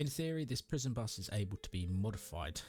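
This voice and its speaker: Music plays in the background as a man speaks with a British accent. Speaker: streamer playing games. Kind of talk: gameplay commentary with story narration. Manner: narrative storytelling.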